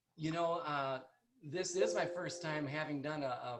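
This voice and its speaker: Fairly high in pitch, a man speaks with an Upper Midwest accent. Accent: Upper Midwest American. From North Dakota, US. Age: 60s. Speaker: chiropractor. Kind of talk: presentation. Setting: video call. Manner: soft-spoken. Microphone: quiet, far from computer mic.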